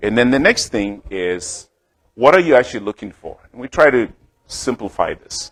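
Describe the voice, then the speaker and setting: A man with a Zimbabwean accent speaks at a medium pitch, his intonation lively. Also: moderate pace, big swings in loudness. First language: Shona. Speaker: healthcare startup founder and clinician. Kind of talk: business presentation. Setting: talk to a club audience at a restaurant.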